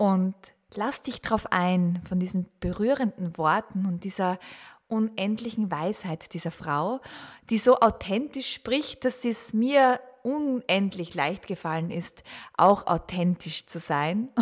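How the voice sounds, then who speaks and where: A woman with an Austrian accent speaks very slowly at a medium pitch, her intonation lively. The recording is very clean, with a silent background. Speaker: podcast host. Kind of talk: scripted intro. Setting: studio.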